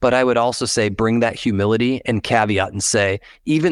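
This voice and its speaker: In a very clean recording with a silent background, a man's voice comes through dry and close with no echo. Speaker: cybersecurity startup CEO. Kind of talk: interview. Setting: podcast interview. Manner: high energy.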